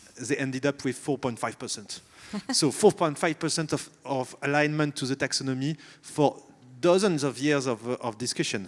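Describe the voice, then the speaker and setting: This man speaks with a slight French accent. His voice is fairly high, with ordinary pitch variation. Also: moderate pace. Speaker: company CEO, panelist. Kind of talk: panel discussion. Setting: stage with audience.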